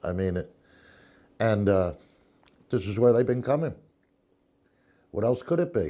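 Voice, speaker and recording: A man's medium-pitched voice with a dark, mellow tone and lively intonation, at a moderate pace with long, frequent pauses. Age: 60s. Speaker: UFO witness. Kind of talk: interview testimony. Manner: halting.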